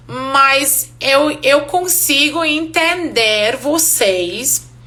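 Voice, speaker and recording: A woman with a non-native accent raises and projects her high-pitched voice, with audible room echo around her. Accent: foreign accent in Portuguese, noticeable. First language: Hungarian (speaking Portuguese). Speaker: English teacher. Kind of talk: live online class. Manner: casual, conversational.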